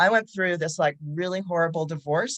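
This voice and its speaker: In a normal speaking voice, a woman with a fairly low pitch talks at a fairly quick pace, the sound dry and close with no echo. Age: 60s. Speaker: psychotherapist. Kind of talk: casual chat.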